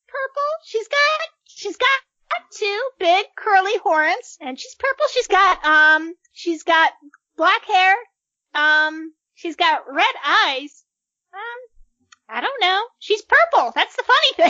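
Squeaky and extremely high, the put-on character voice moves at a fairly slow pace with long, frequent pauses.

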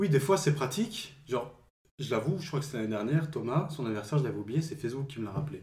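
At a very fast pace, a man speaks with a somewhat breathy voice and lively intonation, with audible room echo around him. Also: fairly high pitch for a man. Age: 20s. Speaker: friend of host. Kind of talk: casual chat.

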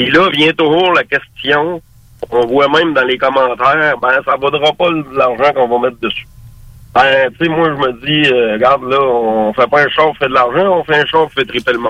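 In an ordinary speaking voice, a man talks at a moderate pace with fairly high pitch and fairly even intonation. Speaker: car restorer. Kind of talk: casual chat.

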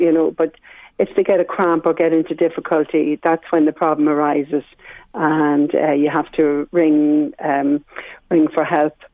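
A woman's very deep, low voice in an Irish accent, at a fairly slow pace. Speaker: swim instructor. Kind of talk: radio interview. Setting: phone call.

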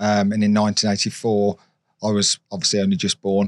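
Here a man speaks with a British accent and fairly low pitch. The recording is very clean, with a silent background and dry, close sound with no echo. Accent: British regional, local to the area. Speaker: YouTuber and car stunt driver. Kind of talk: casual interview chat.

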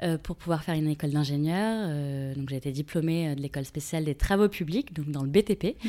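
A woman's fairly low pitch with ordinary variation, on a very clean recording with a silent background. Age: 30s. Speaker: shoe brand founder. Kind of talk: interview. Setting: brand showroom. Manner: hesitant, many fillers.

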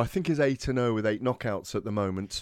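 At a very fast pace, a man of medium pitch speaks with ordinary pitch variation in a very clean recording with a silent background. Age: 40s. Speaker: boxing radio host. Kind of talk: sports radio talk show.

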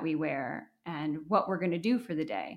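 A woman's normal speaking voice with an American accent and lively intonation, in a very clean recording with a silent background. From Wisconsin, US Midwest. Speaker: business founder. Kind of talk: interview.

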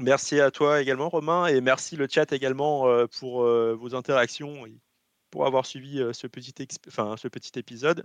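With a normal speaking voice at medium pitch, a man talks at a moderate pace with fairly even intonation and big swings in loudness, recorded with a dry, close sound with no echo over a quiet background. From French Guiana. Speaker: video game company logistics specialist. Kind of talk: casual chat.

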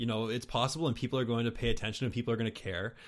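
A man speaks at a medium pitch with an eastern Canadian accent. The recording is very clean, with a silent background. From New Brunswick, Canada. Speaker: podcast host. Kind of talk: casual interview chat. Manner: casual, self-deprecating, laughs often.

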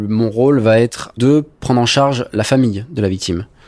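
Speaking at a moderate pace and medium pitch, a man has an unremarkable speaking voice with ordinary pitch variation. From southern France, Var coast (Sanary-sur-Mer). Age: 20s. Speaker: lifeguard and nursing student. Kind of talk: testimony.

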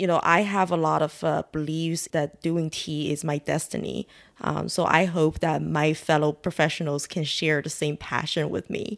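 In a Chinese accent, a woman speaks with a very deep, low pitch and vocal fry. Her intonation is fairly even, and she keeps a moderate pace with hardly any pauses. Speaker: tea shop owner. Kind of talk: interview.

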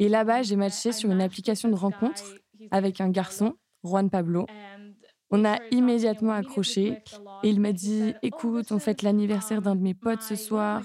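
Her dark, mellow tone sits at a medium pitch as this woman talks at a moderate pace with fairly even intonation, very even loudness, and long, frequent pauses. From Hungary and South America. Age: young. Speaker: interviewee. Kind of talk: interview testimony.

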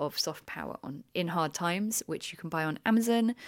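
A woman with a British accent talks fairly quickly at a fairly low pitch with lively intonation, on a very clean recording with a silent background. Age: 30s. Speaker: journalist and creative director. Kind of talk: interview. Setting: on a retreat.

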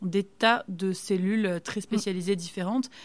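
On a very clean recording with a silent background, a woman with an unremarkable speaking voice talks at a medium pitch with fairly even intonation. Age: 30s. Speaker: medical resident and stem cell researcher. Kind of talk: casual interview.

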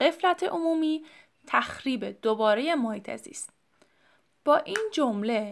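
Over a silent background in a very clean recording, a woman speaks at a moderate pace with lively intonation. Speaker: podcast host. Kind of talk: solo educational talk.

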